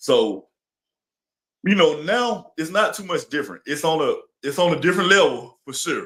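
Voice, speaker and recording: This man's tone is bright and sharp. He talks at moderate speed. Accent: Alabama. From Alabama, US South. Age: 30s. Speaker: influencer and entertainer. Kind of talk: interview.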